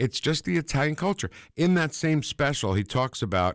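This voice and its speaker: On a very clean recording with a silent background and a dry, close sound free of echo, a man with an American accent talks at a fairly quick pace with very wide pitch swings. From New Jersey. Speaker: former stand-up comedian. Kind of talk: casual chat.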